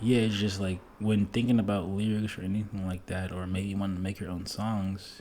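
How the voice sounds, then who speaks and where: A man with a very deep, low pitch and a dark, mellow tone speaks in a monotone, flat way at a moderate pace. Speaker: music producer. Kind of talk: casual monologue. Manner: casual, filler-heavy.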